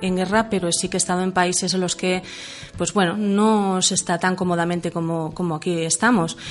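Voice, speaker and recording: Over noticeable background noise, a woman with a fairly low pitch talks at a fairly quick pace. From Catalonia, Manresa. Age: 40s. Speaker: author. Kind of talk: radio interview. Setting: radio studio.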